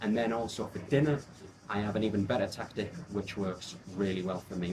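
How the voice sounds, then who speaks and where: Somewhat breathy, a man with an English accent speaks in a fairly low pitch. His pace is fairly quick, with ordinary pitch variation. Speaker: fitness coach. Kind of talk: vlog narration.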